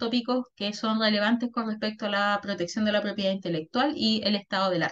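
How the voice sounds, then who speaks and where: Her voice is a normal speaking voice at medium pitch with ordinary pitch variation. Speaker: workshop facilitator, intellectual property consultant. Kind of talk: workshop presentation.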